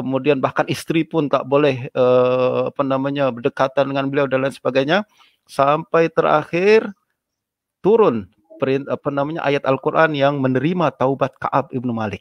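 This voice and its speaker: A man talks at a moderate pace with a fairly high pitch and ordinary pitch variation. The sound is dry with no echo, and the background is quiet. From Indonesia. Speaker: Islamic scholar and lecturer; lecturer. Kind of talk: religious lecture. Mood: calm, earnest. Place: home room. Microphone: video call.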